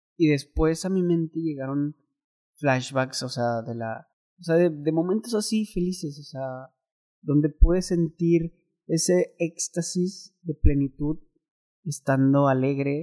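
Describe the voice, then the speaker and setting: A man's dark, mellow tone at a fairly slow pace, with ordinary pitch variation and a dry, close sound free of echo. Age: 20s. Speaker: podcaster. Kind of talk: personal monologue. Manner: casual, filler-heavy.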